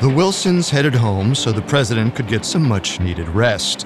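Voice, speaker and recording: Music plays in the background as a man of medium pitch speaks at a moderate pace. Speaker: podcast host. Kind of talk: history documentary narration. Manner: steady, suspenseful, polished narration.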